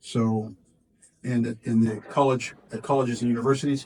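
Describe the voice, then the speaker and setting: Medium pitch from a man, a dark, mellow tone, fairly even intonation and a moderate pace. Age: 60s. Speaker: politician. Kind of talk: press interview. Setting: community event. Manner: halting.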